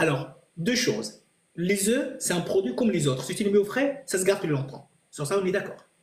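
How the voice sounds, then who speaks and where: Using very wide pitch swings, a man with a non-native accent talks at a fairly quick pace and a high pitch. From Italy. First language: not French (speaking French). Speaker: chef. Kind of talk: live stream Q&A. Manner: halting.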